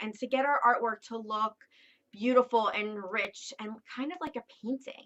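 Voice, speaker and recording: A woman speaks in a Philadelphia accent at a fairly high pitch. Her pace is fairly slow, with ordinary pitch variation. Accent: Philadelphia-area dialect. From southeastern Pennsylvania, Philadelphia suburbs. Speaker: art teacher. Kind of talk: tutorial. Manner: casual, with frequent fillers.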